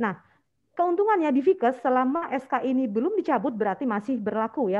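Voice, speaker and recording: High-pitched and with lively intonation, a woman speaks. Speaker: university lecturer. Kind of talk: lecture. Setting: video call.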